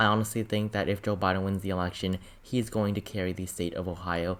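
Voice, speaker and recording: This man's voice sits fairly low and moves at a fairly quick pace. His intonation stays monotone and flat. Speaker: political YouTuber. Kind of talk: political analysis monologue. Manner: rushed.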